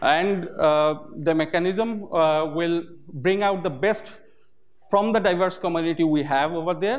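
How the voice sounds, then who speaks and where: At a fairly slow pace, a man talks with a Bengali accent. His pitch is high, with ordinary pitch variation. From Bangladesh. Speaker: OpenStreetMap community volunteer. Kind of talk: conference talk. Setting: stage with audience. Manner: hesitant, many filler sounds. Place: hall.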